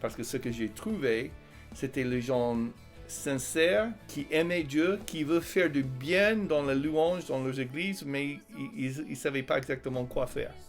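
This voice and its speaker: Over music in the background, a man with an American accent talks at a fairly slow pace, with a fairly high pitch and ordinary pitch variation. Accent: American accent, charming. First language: English (speaking French). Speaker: Bible college teacher and author. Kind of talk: interview. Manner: hesitant, many fillers.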